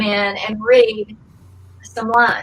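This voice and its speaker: A woman with a Georgia accent speaks in a bright, sharp tone. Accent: Southern (Georgia). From Georgia, US South. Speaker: former actress and pageant contestant. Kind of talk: interview storytelling. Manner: hesitant, many fillers.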